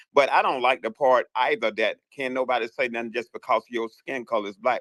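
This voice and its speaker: A man talks at a fairly quick pace with a Southern US accent. The sound is dry and close, with no echo. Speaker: caller in a live audio chat room. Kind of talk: casual chat. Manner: animated.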